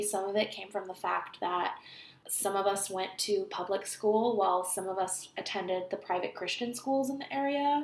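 A woman speaks at a moderate pace with an American accent, in a normal speaking voice. Her pitch sits in the middle of her range and varies in an ordinary way. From California. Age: 30s. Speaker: podcast host. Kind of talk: casual monologue.

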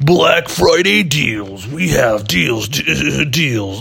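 A man puts on a character voice at a medium pitch. He goes very slowly, his pitch swinging very widely. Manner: loud, hyped, emphatic.

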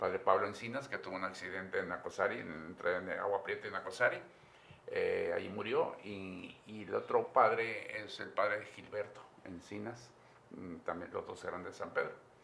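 There is noticeable background noise. Over it, a man talks at a moderate speed. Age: 80s+. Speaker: priest. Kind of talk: interview. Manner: halting.

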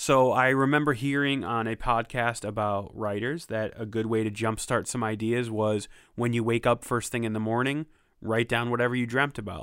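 In a very clean recording with a silent background, a man talks at a moderate pace with fairly even intonation and a medium pitch, a normal speaking voice. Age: 30s. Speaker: podcast co-host. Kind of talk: casual chat.

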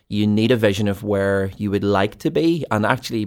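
On a very clean recording with a silent background, a man with a Belfast accent and a fairly low pitch talks at a fairly quick pace with ordinary pitch variation. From Northern Ireland, East Belfast. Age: 30s. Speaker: ministry team leader and podcast co-host. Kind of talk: casual chat.

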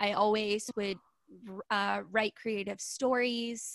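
A woman with an American accent, medium pitch, bright, sharp tone, monotone, flat intonation, very slow pace, and a dry, close sound with no echo. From Southern California. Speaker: podcaster and former ballet dancer turned entrepreneur. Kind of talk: casual interview. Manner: slow, thoughtful speaker.

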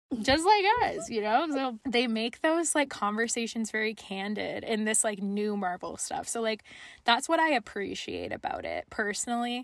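With lively intonation and a moderate pace, a woman speaks in an unremarkable speaking voice. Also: very clean recording, silent background. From Canada, French Canadian family. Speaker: podcast co-host. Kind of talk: casual chat.

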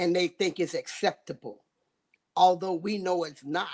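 A woman with a fairly low pitch speaks in a Southern US accent. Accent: Southern US (Georgia). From US South, Georgia. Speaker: southern soul singer. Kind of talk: interview.

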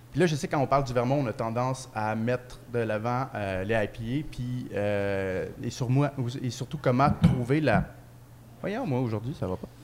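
A man with a Quebec accent speaks fairly slowly at a medium pitch, with ordinary pitch variation. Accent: Québécois French. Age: 20s. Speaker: beer podcast co-host. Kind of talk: casual chat. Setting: microbrewery pub.

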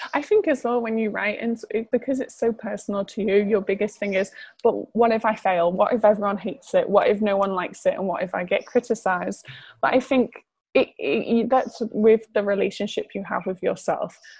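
A woman with a Liverpool accent, fairly high in pitch, somewhat breathy, with fairly even intonation. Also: fairly quick pace. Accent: Scouse. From northern England, Liverpool. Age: 20s. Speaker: model and aspiring writer. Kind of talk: casual interview.

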